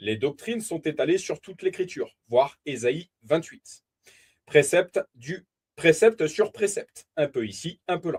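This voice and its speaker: A man with a high pitch and lively intonation talks at a fairly slow pace, with a dry, close sound and no echo. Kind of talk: bible teaching. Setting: live stream. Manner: deliberate, repeats key points.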